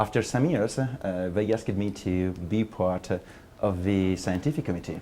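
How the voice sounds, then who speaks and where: With an Italian accent, a man speaks in a dark, mellow tone at a fairly low pitch and a moderate pace, with ordinary pitch variation and very even loudness. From Italy. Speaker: academic researcher. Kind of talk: interview testimony.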